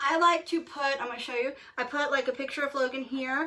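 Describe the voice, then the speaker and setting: A woman with ordinary pitch variation over noticeable background noise. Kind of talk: casual tutorial talk to camera. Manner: hesitant with fillers.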